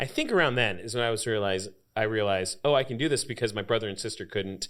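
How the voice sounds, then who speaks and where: Speaking very fast with an American accent, a man uses a medium pitch and ordinary pitch variation. The recording is very clean, with a silent background. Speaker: lead singer of a cover band. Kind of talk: podcast interview.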